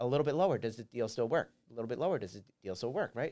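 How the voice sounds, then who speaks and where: With an American accent, a man speaks with lively intonation. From Philadelphia, US. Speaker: real estate investor. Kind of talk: casual chat.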